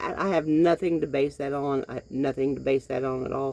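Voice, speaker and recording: A woman with a dark, mellow tone speaks at a moderate pace. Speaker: vlogger. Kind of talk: casual monologue. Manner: halting.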